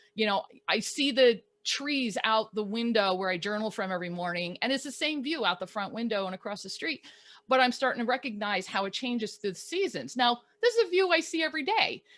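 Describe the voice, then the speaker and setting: A woman speaks loudly at a fairly quick pace, her fairly high pitch swinging very widely in an animated tone. The recording is very clean, with a silent background. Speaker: life coach and photographer. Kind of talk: casual chat. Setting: live video stream. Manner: animated, loud.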